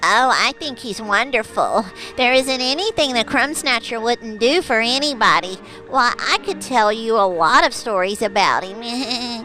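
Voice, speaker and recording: A female-sounding voice does a cartoonish character with a fairly high pitch. The pace is moderate, with clear background noise. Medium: puppet. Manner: warm, chatty, hesitant.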